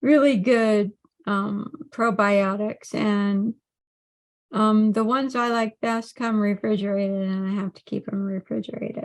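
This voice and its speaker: A woman speaks at a fairly slow pace and fairly high pitch, with fairly even intonation. Her loudness swings widely, and the sound is dry and close with no echo. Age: 60s. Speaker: health coach. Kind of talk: monologue on health. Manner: halting, many fillers.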